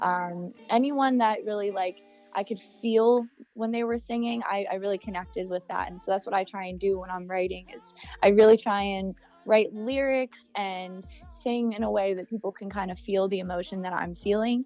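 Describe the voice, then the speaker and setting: Over music in the background, a woman with an American accent speaks at a moderate pace and medium pitch, her intonation fairly even and her loudness swinging widely. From Bucks County, Pennsylvania. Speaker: singer-songwriter. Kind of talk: interview answer.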